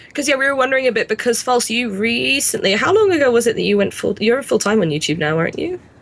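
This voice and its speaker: Very fast speech in a British accent, with hardly any pauses. The pitch swings very widely. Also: woman, fairly high pitch for a woman. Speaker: gaming YouTuber, podcast co-host. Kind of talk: casual chat. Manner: loud.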